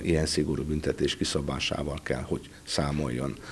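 This man's voice has vocal fry. His intonation stays fairly even. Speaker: prosecutor. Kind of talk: news interview. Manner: formal. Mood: serious, formal. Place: office. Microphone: handheld.

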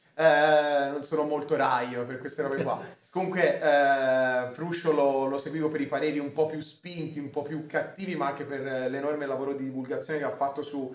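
A man speaks at a moderate pace with fairly even intonation. His pitch sits fairly high, and the room echo is audible. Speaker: streamer host. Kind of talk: casual chat. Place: home room.

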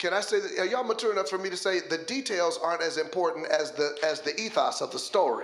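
An animated man talks at a fairly quick pace with ordinary pitch variation, with audible room echo and light background noise. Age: 50s. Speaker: pastor. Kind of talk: sermon. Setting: church. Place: church. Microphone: handheld.

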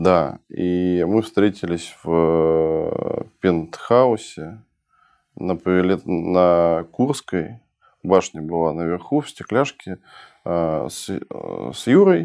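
At a very slow pace with long, frequent pauses, a man speaks in a very deep, low pitch with a dark, mellow tone and ordinary pitch variation over a quiet background. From Russia (early childhood in Budapest). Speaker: entrepreneur and investor; guest. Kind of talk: interview conversation. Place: studio. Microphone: lapel.

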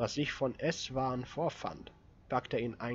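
The intonation holds fairly even as the text is read in an unforced reading voice.

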